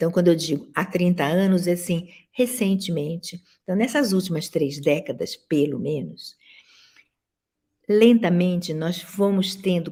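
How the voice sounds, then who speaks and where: A woman's very slow, somewhat breathy speech at a medium pitch, with ordinary pitch variation. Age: 70s. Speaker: professor and dance critic. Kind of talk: lecture.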